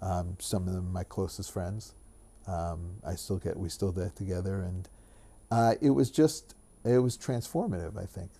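Over a very clean recording with a silent background, a man speaks in a very deep, low pitch with a dark, mellow, somewhat breathy tone, ordinary pitch variation and a moderate pace. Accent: American. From New York (Great Neck, Long Island). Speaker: business executive and lawyer. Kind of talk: interview conversation. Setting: home, in person. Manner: halting, many fillers.

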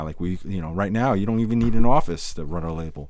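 A man talks in a plain, everyday voice. His pitch is fairly low and his pace fairly quick. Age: 50s. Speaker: podcast host and DJ. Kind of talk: casual chat.

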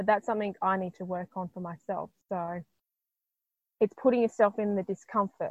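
A medium-pitched woman with an Australian accent at a moderate pace, big swings in loudness and fairly even intonation, in a quiet background. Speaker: intuitive healer. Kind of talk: casual interview chat.

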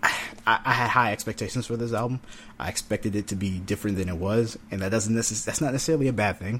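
The speaker talks at a very fast pace with an American accent. Pitch variation is ordinary. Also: man, fairly low pitch for a man. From North Carolina. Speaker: podcast co-host, music reviewer. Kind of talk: casual chat.

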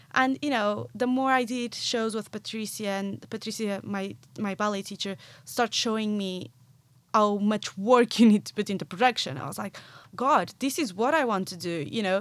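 A woman with a Portuguese accent at medium pitch, with ordinary pitch variation, big swings in loudness and a moderate pace, on a very clean recording with a silent background. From Portugal, near Porto. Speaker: marketing professional in musical theatre. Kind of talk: casual interview. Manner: animated.

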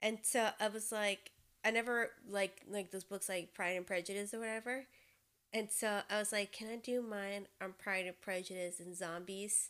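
A woman's medium-pitched voice at a moderate pace, with fairly even intonation. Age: 20s. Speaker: podcast co-host. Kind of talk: casual chat. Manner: loud.

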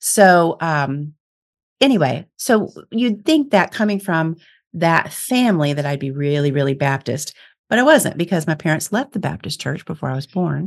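With an American accent, a woman talks at a moderate pace and a fairly low pitch, using very wide pitch swings. The background is quiet. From US Midwest. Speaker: psychic medium and speaker. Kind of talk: casual interview.

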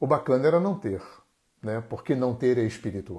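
A man's medium-pitched voice with a Brazilian accent, dark and mellow in tone, with lively intonation, on a very clean recording with a silent background. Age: 60s. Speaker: therapist and live-stream host. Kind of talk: solo live-stream talk. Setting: Instagram live stream.

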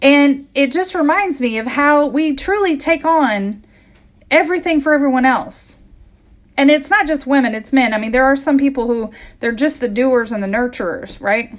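This woman's voice is high in pitch. Her intonation is lively. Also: moderate pace. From US Midwest. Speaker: health coach and podcast host. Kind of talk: solo podcast monologue.

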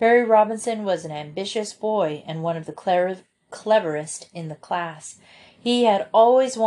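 The background stays quiet. It is a natural reading voice.

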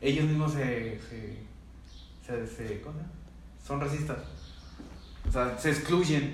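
In a Mexican accent, a man with a fairly high pitch talks at a very slow pace with long, frequent pauses and fairly even intonation, over noticeable background noise and audible room echo. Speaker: podcast co-host. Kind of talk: casual chat.

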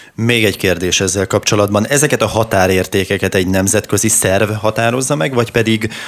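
Fairly low in pitch, a man uses a normal speaking voice with fairly even intonation. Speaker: radio host. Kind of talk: radio interview.

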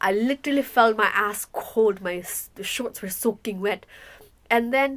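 On a very clean recording with a silent background, a woman with a fairly high pitch and an unremarkable speaking voice speaks at a fairly slow pace with ordinary pitch variation. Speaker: podcast co-host. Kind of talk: casual chat.

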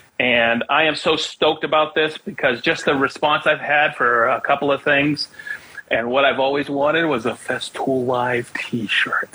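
At a moderate pace, the voice holds very even loudness and fairly even intonation over noticeable background noise. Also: man, fairly high pitch for a man. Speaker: podcast host. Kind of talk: casual interview chat.

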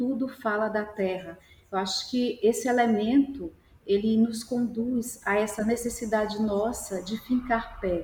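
A woman talks at a fairly slow pace with fairly even intonation and a fairly high pitch. It is an ordinary speaking voice. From Salvador, Bahia, Brazil. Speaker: artist. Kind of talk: panel discussion.

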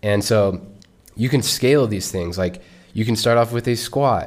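A man talks at a moderate pace with a fairly low pitch and ordinary pitch variation. He has an unremarkable speaking voice. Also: very clean recording, silent background. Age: 20s. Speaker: podcast host, ex-Marine traveler. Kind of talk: solo podcast monologue. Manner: casual, conversational.

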